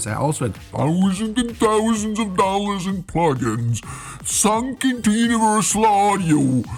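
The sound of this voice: Over clear background noise, a man uses a put-on, high-pitched character voice at a moderate pace.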